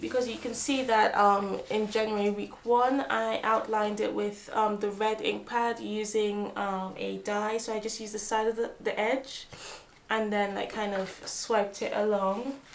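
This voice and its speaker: At a moderate pace, a woman speaks with fairly high pitch and fairly even intonation, her voice carrying audible room echo. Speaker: planner crafting youtuber. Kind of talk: craft tutorial. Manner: casual, many fillers.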